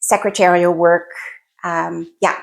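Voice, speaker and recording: In a New Brunswick accent, a woman talks at a medium pitch and a fairly slow pace. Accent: Grand Falls New Brunswick. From northwestern New Brunswick, Canada (Grand Falls). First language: French. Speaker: podcast guest. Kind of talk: casual interview.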